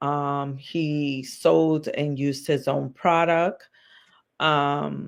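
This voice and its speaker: Against a quiet background, a woman with an American accent speaks at a very slow pace in a very deep, low pitch with monotone, flat intonation. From US Northeast, South Bronx, New York. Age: 40s. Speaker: social worker and life coach. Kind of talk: interview. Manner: loud.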